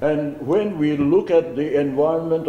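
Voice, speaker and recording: Amid noticeable background noise and audible room echo, a man with a Naga accent speaks at a moderate pace and fairly high pitch. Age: 70s. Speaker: community leader. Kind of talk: press conference speech. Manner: formal.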